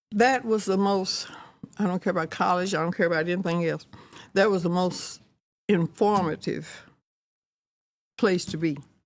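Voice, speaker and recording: A woman's medium-pitched voice with a Texan accent, moderate pace, ordinary pitch variation and long, frequent pauses. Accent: Texan Southern US. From Fort Worth, Texas. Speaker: retired educator and community founder. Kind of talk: podcast interview answer.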